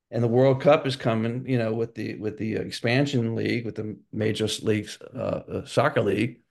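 This man talks at a moderate pace with hardly any pauses, using vocal fry, a medium pitch and fairly even intonation. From New Orleans, Louisiana. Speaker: franchise consultant. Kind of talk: interview conversation.

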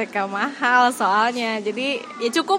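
A woman's voice with audible room echo and crowd noise in the background. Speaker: podcast co-host and teacher. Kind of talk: casual chat.

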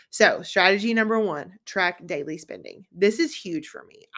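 A woman with a normal speaking voice at a moderate pace, ordinary pitch variation, and a very clean recording with a silent background. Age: 30s. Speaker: podcast host and business owner. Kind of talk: solo podcast monologue. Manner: casual, conversational.

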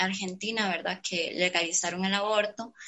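Her intonation is monotone and flat. The woman's voice sits at a medium pitch. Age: 20s. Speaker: university student and poet. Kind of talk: casual chat.

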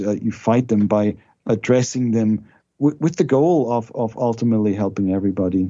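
A man talks at a medium pitch. He has a German accent. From Germany. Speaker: theology professor. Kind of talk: interview.

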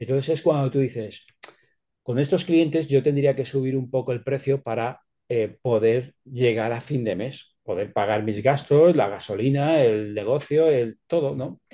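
A man speaks in an ordinary speaking voice at a fairly slow pace. His pitch is medium with ordinary pitch variation. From Spain, Alicante province (Petrer). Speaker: sales expert and author. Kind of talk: interview, expert advice.

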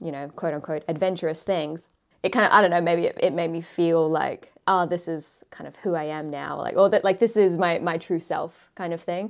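This woman has a fairly low pitch and an Australian accent. She keeps a moderate pace and fairly even intonation. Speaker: YouTuber and travel content creator. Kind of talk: casual interview chat. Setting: remote call.

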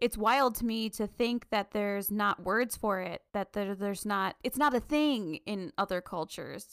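In a very clean recording with a silent background, a woman with a plain, everyday voice talks at a moderate pace and medium pitch, with ordinary pitch variation and hardly any pauses. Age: 30s. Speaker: book podcast co-host. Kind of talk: casual chat.

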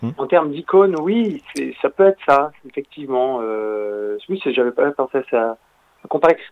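An unremarkable speaking voice at a fairly slow pace, with lively intonation. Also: man, fairly high pitch for a man. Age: 30s. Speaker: journalist and documentary maker, author. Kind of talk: radio interview.

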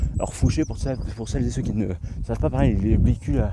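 A man with a very deep, low pitch speaks at a fairly quick pace. His voice has very wide pitch swings, with noticeable background noise behind it. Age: 20s. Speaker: podcaster. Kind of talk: solo monologue. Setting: outdoors in nature. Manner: hesitant, many fillers.

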